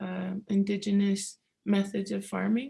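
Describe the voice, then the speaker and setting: Her tone is dark and mellow, somewhat breathy, at medium pitch. The woman speaks at a fairly slow pace. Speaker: seed keeper presenter. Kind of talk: conference presentation with slides.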